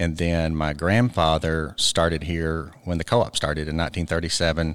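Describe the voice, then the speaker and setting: A man with a very deep, low voice and an Arkansas accent, monotone and flat, at a moderate pace, on a very clean recording with a silent background. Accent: Southern US (Arkansas). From Arkansas (Ozark). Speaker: cooperative board director and bank CEO. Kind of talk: interview.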